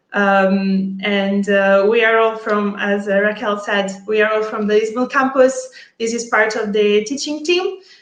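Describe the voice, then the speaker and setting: A woman with an Italian accent speaks at a fairly high pitch with fairly even intonation. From Italy. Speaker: data analytics teacher and engineer. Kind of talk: webinar self-introduction. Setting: online webinar.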